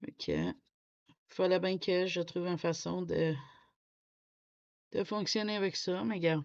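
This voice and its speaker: A woman's medium-pitched voice at a very slow pace, with ordinary pitch variation and long, frequent pauses, over a quiet background. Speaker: coloring youtuber. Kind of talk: casual chat. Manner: halting.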